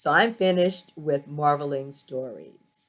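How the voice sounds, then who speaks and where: Someone speaks with a Louisiana accent at a moderate pace. The pitch varies in an ordinary way. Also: woman. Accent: Louisiana twang. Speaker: YouTube vlogger. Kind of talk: scripted narration; casual vlog talk.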